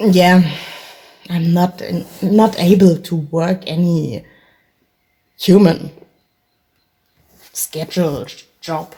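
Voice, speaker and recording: A woman with a German accent speaks at a very slow pace with fairly even intonation. She leaves long, frequent pauses. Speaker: vlogger. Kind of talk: solo monologue vlog. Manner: rambling, halting.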